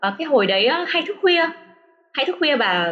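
A woman speaks with very wide swings in pitch. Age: 30s. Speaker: former study-abroad student in Japan. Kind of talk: casual interview chat. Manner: hesitant, many fillers.

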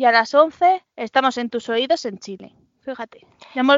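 With a high pitch and a bright, sharp tone, a woman speaks at a moderate pace in a dry, close sound with no echo. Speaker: podcast co-host. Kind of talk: casual chat. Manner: laughs a lot.

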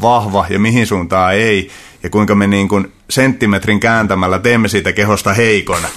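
At a moderate pace, a man with a fairly low pitch speaks with fairly even intonation and very even loudness. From Central Finland, rural. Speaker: martial arts coach. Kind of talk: casual interview. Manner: halting, many repetitions and fillers.

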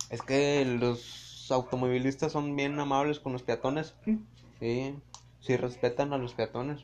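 A man speaks with a Mexican accent at a medium pitch. His pace is very slow and his intonation fairly even. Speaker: friend of the host. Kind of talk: casual chat.

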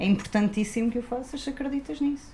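A woman speaks at a fairly quick pace with lively intonation. Background noise is noticeable. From Algarve, Portugal (Vila Real de Santo António). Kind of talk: casual discussion.

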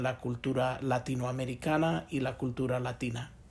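The man's voice is medium in pitch and somewhat breathy, with monotone, flat intonation. He keeps a moderate pace. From Chicago. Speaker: business professor. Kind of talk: interview. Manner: hesitant with many fillers.

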